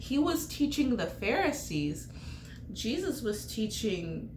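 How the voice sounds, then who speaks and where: A woman talks at a fairly high pitch. Audible room echo surrounds her voice. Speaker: bible teacher. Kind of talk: bible study talk. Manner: animated.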